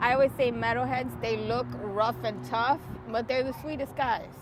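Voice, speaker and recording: A woman with a New York accent at a moderate pace. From New York City. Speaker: podcast host. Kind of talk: casual chat. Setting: outdoors at the beach.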